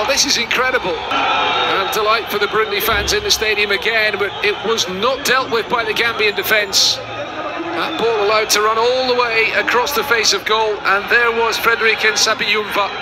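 Through noticeable background noise, a man uses a raised, projected, high voice at a moderate pace, with fairly even intonation and very even loudness. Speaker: football commentator. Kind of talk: live match commentary over highlights. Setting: highlights video with stadium commentary.

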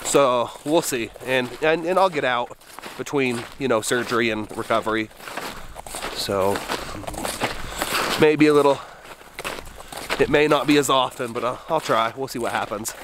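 Noticeable background noise accompanies a man speaking at a moderate pace with ordinary pitch variation. He takes long, frequent pauses, and the sound is dry with no echo. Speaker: outdoor vlogger. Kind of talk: casual vlog chat. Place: forest. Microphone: phone near.

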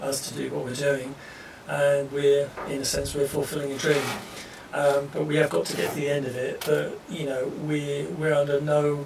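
A man speaks amid audible room echo and light background noise. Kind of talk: casual vlog chat. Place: garden.

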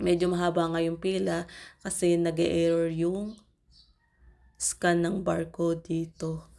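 Speaking very slowly, a woman keeps a monotone, flat delivery at a fairly low pitch, her tone dark and mellow. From Philippines. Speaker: vlogger, overseas Filipino worker. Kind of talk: travel vlog voiceover.

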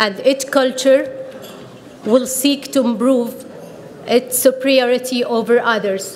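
A woman speaks very slowly, high pitched and with an Arabic accent. Her intonation stays fairly even over light background noise. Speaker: PhD student in sociology. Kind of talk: prepared speech. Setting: podium at a conference with audience. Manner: formal. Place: hall. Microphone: podium.

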